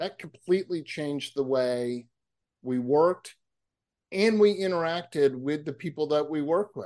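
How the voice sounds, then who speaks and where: Here a man talks at a moderate pace in an ordinary speaking voice. His pitch is fairly high, with ordinary pitch variation. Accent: American. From Massachusetts. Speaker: author and public speaker, counselor. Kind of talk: interview conversation.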